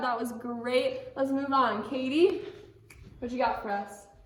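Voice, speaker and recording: Over noticeable background noise and audible room echo, a woman speaks loudly and fairly slowly with a high pitch and lively intonation. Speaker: camp drama instructor. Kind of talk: teaching kids a drama skill lesson. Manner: loud and clear, projecting; casual, with filler words.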